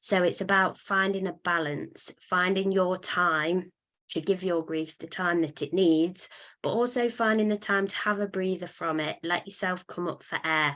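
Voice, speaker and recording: Against a quiet background, a woman with a normal speaking voice and medium pitch talks at a moderate pace with fairly even intonation. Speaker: weight management webinar presenter. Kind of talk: webinar presentation. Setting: online webinar.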